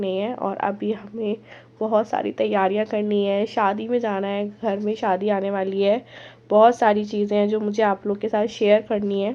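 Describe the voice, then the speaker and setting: A woman's fairly slow speech holds a monotone, flat intonation throughout. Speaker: vlogger. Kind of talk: vlog talk to camera.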